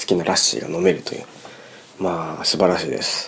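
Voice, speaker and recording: A man speaks over noticeable background noise. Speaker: musician and podcast host. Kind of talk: solo podcast monologue. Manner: casual, filler-heavy.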